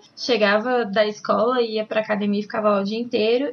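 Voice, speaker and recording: A woman with a fairly high voice speaks with fairly even intonation in a plain, everyday voice. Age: 20s. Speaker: ballroom dance teacher. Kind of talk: casual interview.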